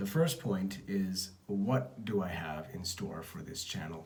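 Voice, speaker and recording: A man's fairly low, somewhat breathy voice with audible room echo. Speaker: entrepreneur vlogger. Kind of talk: casual vlog update. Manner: understated; halting.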